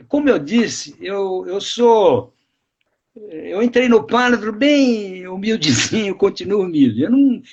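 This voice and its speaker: The speech moves at a very slow pace, its pitch swinging very widely. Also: man. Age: 80s+. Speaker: retired biologist and author. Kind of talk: live interview. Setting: live stream video call.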